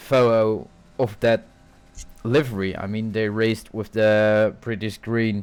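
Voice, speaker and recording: Fairly low-pitched, a man with a Dutch accent speaks at a fairly slow pace and with fairly even intonation. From Netherlands. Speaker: sim racing commentator. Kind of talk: live commentary.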